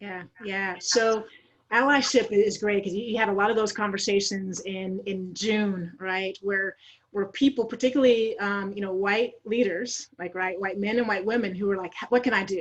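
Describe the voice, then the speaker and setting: A woman with an American accent and an unremarkable speaking voice talks at a medium pitch and moderate pace, her intonation fairly even. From Idaho, US. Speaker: diversity and inclusion consultant. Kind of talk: panel interview.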